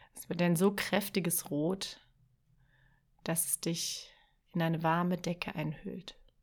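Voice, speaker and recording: A woman with a fairly low pitch and a calm, soothing tone speaks at a very slow pace in a monotone, flat way, with big swings in loudness and long, frequent pauses, on a very clean recording with a silent background. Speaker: podcast host and writing coach. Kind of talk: guided meditation. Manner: slow, soft, calm and soothing, with long pauses; gentle, dreamy, lulling imagery.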